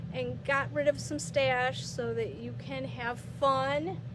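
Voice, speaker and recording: It's a woman speaking. Noticeable background noise is present. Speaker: yarn shop host. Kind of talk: casual live-stream chat greeting viewers. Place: shop.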